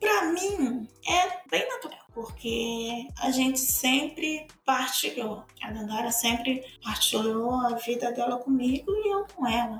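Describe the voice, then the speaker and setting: Over noticeable background noise, a woman with a high pitch and lively intonation speaks very slowly, with hardly any pauses. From Bahia, Brazil. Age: 50s. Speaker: teacher, mother of the co-host. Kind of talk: casual interview.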